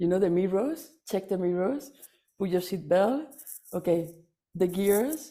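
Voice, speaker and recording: At a fairly slow pace, a woman with a non-native accent speaks in a dark, mellow tone of medium pitch, leaving long, frequent pauses. Her intonation is lively, and the recording is very clean with a silent background. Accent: foreign accent in English. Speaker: workshop attendee. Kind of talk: testimonial. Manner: halting, many fillers and repetitions.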